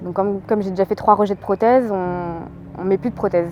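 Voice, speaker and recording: With music in the background, a woman speaks at medium pitch with fairly even intonation. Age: 20s. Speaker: amateur marathon runner and cancer survivor. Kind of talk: interview testimony. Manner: hesitant with many fillers.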